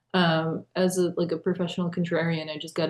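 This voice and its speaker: Speaking at a fairly quick pace, a woman uses a fairly low pitch and a Russian accent. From United States, after early childhood in Russia. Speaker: literary translator. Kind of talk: panel discussion.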